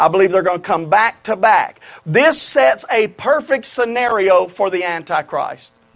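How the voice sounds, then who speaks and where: In a Louisiana accent, the speaker talks at a moderate pace with lively intonation. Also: man, high pitch for a man. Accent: Southern US (Louisiana). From Louisiana, US South. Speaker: preacher. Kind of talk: revival-style prophecy sermon to a live congregation, calling for amens. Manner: fervent, building repetition and emphasis; conversational, folksy asides.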